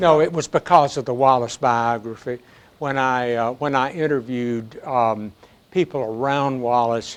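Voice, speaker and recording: A man with a Southern US accent, medium pitch, ordinary pitch variation, and a moderate pace. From US South. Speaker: historian and professor emeritus. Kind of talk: audience Q&A after a book talk. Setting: public library talk with audience. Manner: halting, with many fillers and repetitions.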